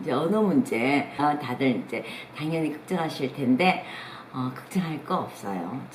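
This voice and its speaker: At a fairly slow pace, a woman talks over noticeable background noise. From South Korea. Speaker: travel YouTuber. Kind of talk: casual advice talk. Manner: hesitant fillers.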